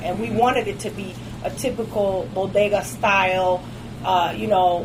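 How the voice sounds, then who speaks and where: A woman talks with an American accent and ordinary pitch variation. Music plays in the background, and the room echo is audible. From Detroit, US. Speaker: cigar lounge owner. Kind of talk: casual interview.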